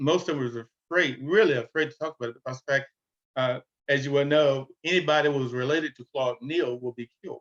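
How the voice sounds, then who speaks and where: A man's fairly high voice at a very fast pace, ordinary pitch variation, and a dry, close sound with no echo. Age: 70s. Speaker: relative of a lynching victim. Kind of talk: panel discussion. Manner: halting.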